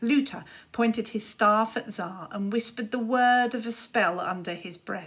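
An unforced reading voice, its pitch varying in the ordinary way

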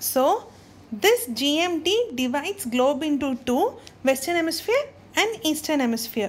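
A woman talks at a fairly slow pace with a high pitch and very wide pitch swings. Noticeable background noise can be heard. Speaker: online tutor. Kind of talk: tutorial.

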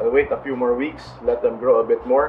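A man at a moderate pace, with music in the background. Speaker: home gardener vlogger. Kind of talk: casual garden tour narration.

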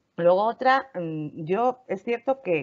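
A woman's voice with lively intonation. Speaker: lawyer, panel regular. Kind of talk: casual panel discussion. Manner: loud.

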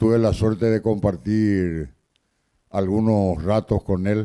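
A man's slow, fairly low-pitched voice, clear and smooth yet dark and mellow, with fairly even intonation

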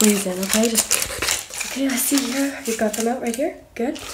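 Loud background noise runs under a woman with an American accent. She talks at a very fast pace with ordinary pitch variation. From US South. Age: 20s. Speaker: ASMR creator. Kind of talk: ASMR roleplay with rapid-fire instructions, repeated phrases. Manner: soft-spoken, whispery, repetitive, fast-paced and chaotic; playful, cajoling, rapid-fire commands. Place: home room. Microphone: phone near.

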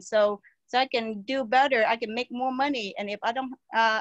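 Fairly even intonation and a fairly bright tone in a dry, close sound with no echo. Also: woman.

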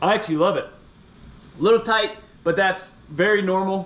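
Speaking at a fairly slow pace, a man uses a high pitch. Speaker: moto rider vlogger. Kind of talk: casual vlog chat, product review. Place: garage. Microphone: camera far.

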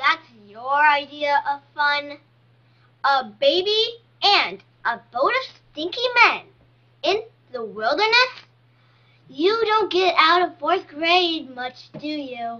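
In a cartoonish character voice, a female-sounding speaker talks at a high pitch and a very slow pace, with long, frequent pauses. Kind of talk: school cartoon comedy. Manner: sarcastic, sassy.

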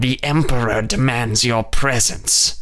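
A man's raspy, put-on character voice at a medium pitch and a fairly slow pace. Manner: stern, commanding.

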